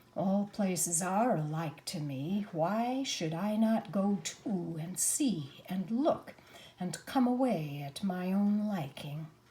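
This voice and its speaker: A woman puts on a character voice at a medium pitch. She delivers it at a fairly slow pace. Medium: read story. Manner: aloof.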